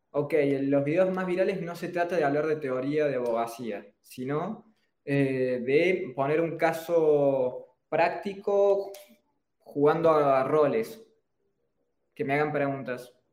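At a very slow pace, a man with a Cordoban Argentine accent speaks at a fairly high pitch with ordinary pitch variation. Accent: Argentine Spanish, Córdoba. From Argentina, Córdoba. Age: 20s. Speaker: entrepreneur, personal branding expert. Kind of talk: interview on a live stream.

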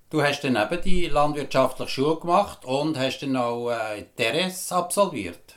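A man's fairly high-pitched voice with lively intonation and hardly any pauses, over noticeable background noise. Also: moderate pace. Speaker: podcast host. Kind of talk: interview.

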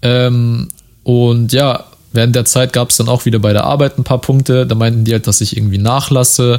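A man with an unremarkable speaking voice, at a moderate pace. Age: 20s. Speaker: podcast host. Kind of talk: solo monologue podcast. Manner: casual, many filler words.

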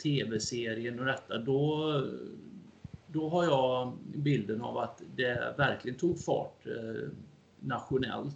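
A man with a medium pitch delivers his words very slowly. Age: 50s. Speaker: amateur historian and lecturer. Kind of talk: interview.

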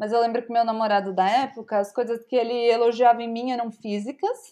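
Against a silent background on a very clean recording, a woman speaks at a fairly high pitch. Her tone is dark and mellow, her pace moderate. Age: 30s. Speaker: content creator and startup founder. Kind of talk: casual chat.

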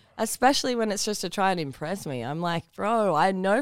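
Over a silent background in a very clean recording, a woman with an Australian accent speaks at medium pitch with very wide pitch swings. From Newcastle, Australia. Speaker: online content creator. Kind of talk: casual chat.

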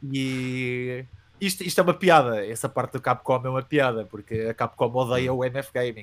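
Here a man speaks at a moderate pace with medium pitch. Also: ordinary pitch variation, very clean recording, silent background. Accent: European Portuguese. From Portugal, Coimbra. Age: 30s. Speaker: youtuber and metal band vocalist. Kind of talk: casual interview.

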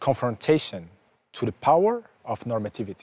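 Recorded dry and close with no echo, a man with a dark, mellow tone and medium pitch talks at a moderate pace with lively intonation. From Morocco (Casablanca). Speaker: professor. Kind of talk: scripted narration. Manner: formal.

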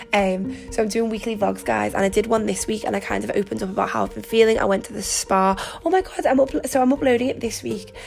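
Amid noticeable background noise, a woman with a British accent talks at a very fast pace in an animated tone. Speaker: podcast host. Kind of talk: casual monologue.

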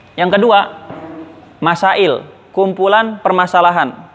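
A man's high-pitched voice at a moderate pace over noticeable background noise. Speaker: Islamic boarding school teacher. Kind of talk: lecture.

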